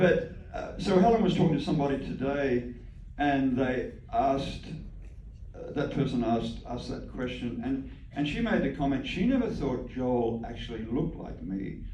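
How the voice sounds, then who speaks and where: Background noise is noticeable, and the room's echo is audible too. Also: man. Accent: Australian. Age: 70s. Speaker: parent of musicians, band co-owner. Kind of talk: Q&A talk. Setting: Q&A session with moms group. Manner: halting, repetitive.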